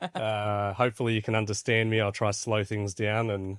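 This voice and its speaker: A man's fairly low-pitched voice with an Australian accent. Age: 40s. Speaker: crypto platform founder. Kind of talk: podcast interview. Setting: studio in Dubai.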